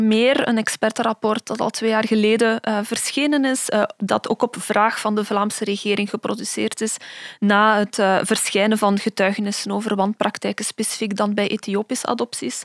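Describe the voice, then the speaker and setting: Moderate pace with hardly any pauses, in a dry, close sound with no echo. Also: woman. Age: 20s. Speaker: historian and researcher. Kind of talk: expert interview explanation.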